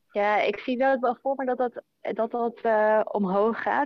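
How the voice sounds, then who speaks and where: The woman's pitch varies in an ordinary way as she talks very slowly. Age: 30s. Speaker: health insurer project manager. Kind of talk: interview. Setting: online call.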